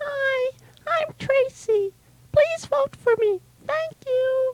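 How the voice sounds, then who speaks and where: In a put-on character voice, a woman squeaks at an extremely high pitch, speaking very slowly with ordinary pitch variation in a dry, close recording with no echo. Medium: audio drama.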